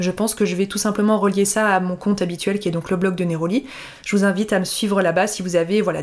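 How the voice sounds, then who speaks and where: At a fairly quick pace, a woman talks with a medium pitch and monotone, flat intonation. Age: 30s. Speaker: blogger and podcast host. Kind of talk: solo podcast monologue. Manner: casual, hesitant with fillers.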